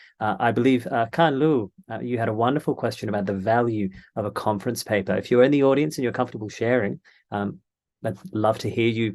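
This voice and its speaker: Speaking at a fairly quick pace with an Australian accent, a man talks over a quiet background. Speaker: panel moderator. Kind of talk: panel discussion.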